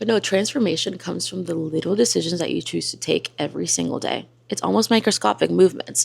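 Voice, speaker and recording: A woman with a slight Spanish accent at a fairly quick pace. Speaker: lifestyle and self-help content creator. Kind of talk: motivational vlog talk.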